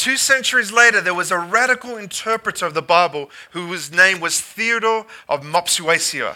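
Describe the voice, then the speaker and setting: A man projects a raised, high voice with a bright, sharp tone, speaking at a fairly slow pace with ordinary pitch variation. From Australia. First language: English (speaking French). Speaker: guest pastor. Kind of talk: sermon.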